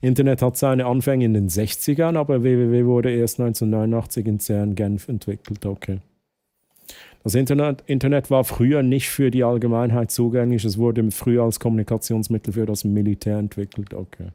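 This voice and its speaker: A man speaks at a fairly quick pace and medium pitch. His tone is dark and mellow, his intonation fairly even. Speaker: streamer. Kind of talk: live stream chat.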